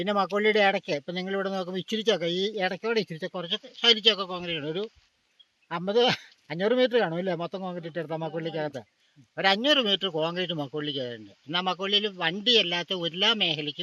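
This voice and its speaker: A raised, projected voice with a bright, sharp tone and ordinary pitch variation comes through with a dry, close sound and no echo. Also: man, high pitch for a man. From Kerala, Idukki district. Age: 70s. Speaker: villager. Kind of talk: interview.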